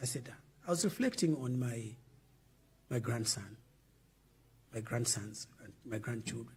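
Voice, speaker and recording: With vocal fry and big swings in loudness, a man speaks at medium pitch and a fairly slow pace, with ordinary pitch variation and long, frequent pauses. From Zambia. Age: 70s. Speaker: former politician. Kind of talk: interview.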